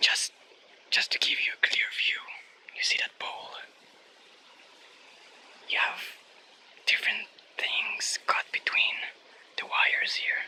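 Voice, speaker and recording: A man whispers at a fairly slow pace, pausing long and often, with noticeable background noise behind him. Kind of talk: casual talk to camera. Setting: outdoors. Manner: whispered.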